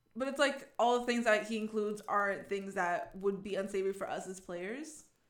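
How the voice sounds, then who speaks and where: An American accent comes through as a woman speaks at a moderate pace with lively intonation. The room echo is audible. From New England, US. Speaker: podcast co-host. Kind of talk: casual chat.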